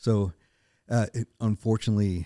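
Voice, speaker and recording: With an American accent, a man talks at a fairly slow pace in a dark, mellow tone, the sound dry and close with no echo on a very clean recording with a silent background. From US South, northeast Arkansas. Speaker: chiropractor. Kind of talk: interview conversation. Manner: halting, many fillers.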